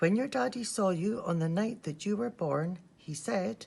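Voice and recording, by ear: Putting on a character voice, a woman speaks at a moderate pace with lively intonation, a medium pitch, a slightly husky edge, a slightly mellow tone and some vocal fry.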